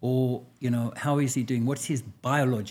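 The voice is somewhat breathy, with a dark, mellow tone and fairly even intonation. The recording is very clean, with a silent background. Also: man. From South Africa. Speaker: physician. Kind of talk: interview.

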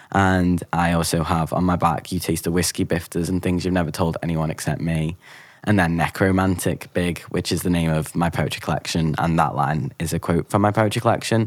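A very deep, low male voice in a Liverpool accent, fairly quick and fairly even in intonation, with hardly any pauses. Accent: Scouse. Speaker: actor and poet. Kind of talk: interview.

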